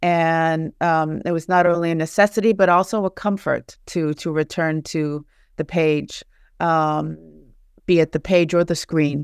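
With a plain, everyday voice, a woman speaks at a fairly slow pace and fairly low pitch with fairly even intonation, in a very clean recording with a silent background and a dry, close sound with no echo. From Charleston, West Virginia. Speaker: author and professor. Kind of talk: casual interview.

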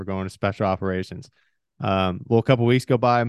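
A man with an American accent, fairly low in pitch, in a dry, close sound with no echo. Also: quiet background. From US Pacific Northwest (eastern Washington). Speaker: former special forces soldier. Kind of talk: casual interview.

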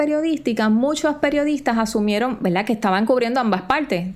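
Over noticeable background noise, a woman with a Puerto Rican accent talks very fast in a high pitch with lively intonation. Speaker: journalist and podcast co-host. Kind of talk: casual chat.

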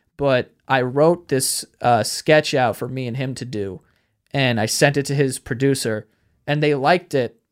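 This man talks at a medium pitch with ordinary pitch variation. He has a New York accent. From Queens, New York (Astoria). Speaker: podcast host and YouTuber. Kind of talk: casual chat.

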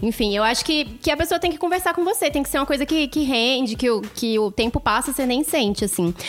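A woman talks at a very fast pace and a high pitch with lively intonation, very even loudness and hardly any pauses, over noticeable background noise. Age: 20s. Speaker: professional storyteller. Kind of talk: casual chat.

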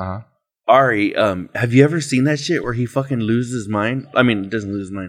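A man with a plain, everyday voice talks at a fairly quick pace and medium pitch, with ordinary pitch variation, on a very clean recording with a silent background. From Mexican-American, US Southwest. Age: 30s. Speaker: podcast host. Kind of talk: casual chat. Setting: on location.

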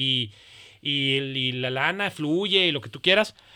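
This man has a bright, sharp tone. His pitch varies in an ordinary way. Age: 30s. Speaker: pediatrician. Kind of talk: casual chat.

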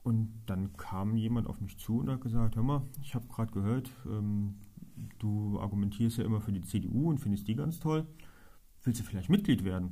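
At a moderate pace, a man speaks in a somewhat breathy, dark and mellow voice at a medium pitch with ordinary pitch variation. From Germany, Trier. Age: 30s. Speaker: local politician. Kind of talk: interview.

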